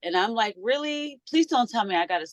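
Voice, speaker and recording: Very fast pace and lively intonation in a dry, close sound with no echo. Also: woman. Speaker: podcast host. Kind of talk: casual podcast talk.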